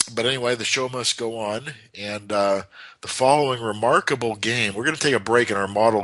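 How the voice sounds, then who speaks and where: At a moderate pace, a man speaks with an American accent over noticeable background noise. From United States. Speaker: chess commentator. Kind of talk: game analysis commentary. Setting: internet chess club broadcast. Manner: halting.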